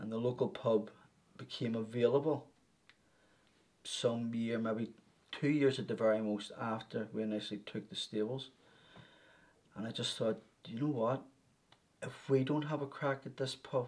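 A man speaks at a moderate pace with fairly even intonation, taking long, frequent pauses. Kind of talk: interview answer. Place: office.

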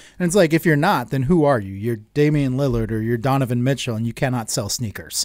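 A man speaks at a very fast pace with hardly any pauses and lively intonation. The sound is dry with no echo, and the background is quiet. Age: 30s. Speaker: podcast co-host. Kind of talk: casual chat. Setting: home studio. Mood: joking, lively. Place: studio. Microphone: studio mic.

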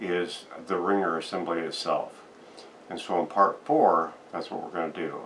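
Over light background noise, a man speaks in a very deep, low pitch. His pace is fairly quick and his intonation fairly even. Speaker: restoration hobbyist host. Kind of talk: casual tutorial intro. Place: workshop.

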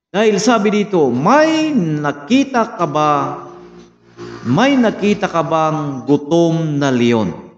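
A man at a very slow pace with very wide pitch swings, audible room echo and light background noise. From Philippines. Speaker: Bible study teacher. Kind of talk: sermon, Bible lesson review with prayer. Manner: formal, earnest, slow with frequent 'uh' fillers; preacherly, exhorting, direct address to 'friends and brothers'. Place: home room. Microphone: phone near.

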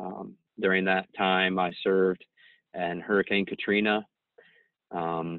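In a dry sound with no echo, a man with a very deep, low pitch speaks at a fairly slow pace. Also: quiet background. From US Midwest. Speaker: school principal and military officer. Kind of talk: interview. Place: office. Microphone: video call.

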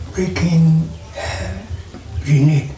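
A man is heard with audible room echo. Light background noise runs underneath. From Ghana. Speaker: retired police officer, eyewitness. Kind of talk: interview answer. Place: home room.

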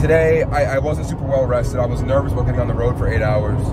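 A man speaks over loud background noise. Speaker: vlogger. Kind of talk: casual vlog chat. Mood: reflective, slightly weary. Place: car. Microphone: phone near.

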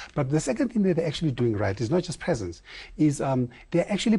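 With very wide pitch swings, a man speaks in a dark, mellow tone that is somewhat breathy. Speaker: guest. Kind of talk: interview answer. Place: studio. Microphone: lapel.

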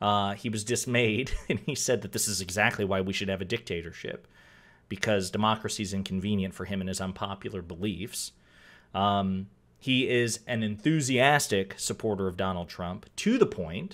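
A man talks at a moderate pace with a fairly low pitch. His pitch varies in an ordinary way. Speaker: political commentator. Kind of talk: commentary. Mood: wry, sarcastic. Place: home room.

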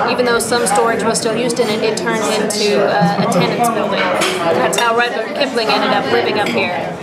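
A woman talks at a fairly quick pace with crowd noise behind her. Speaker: travel show host. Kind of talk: travel show commentary. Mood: warm, chatty, intimate. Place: bar. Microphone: phone near.

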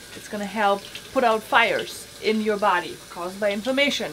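The speaker talks at a moderate pace with ordinary pitch variation. Light background noise sits underneath. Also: woman. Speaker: home cook host. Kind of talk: cooking tutorial. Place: kitchen. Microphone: phone near.

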